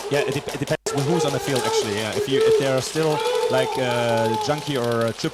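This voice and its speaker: Noticeable background noise sits behind a man who speaks with a German accent at a fairly quick pace. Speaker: speedsoft player and guest commentator. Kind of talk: live commentary. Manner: halting.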